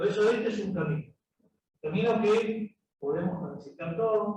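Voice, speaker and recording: This is a man's voice. Its pitch rises and falls in an ordinary way. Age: 60s. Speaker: government energy official. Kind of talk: panel discussion.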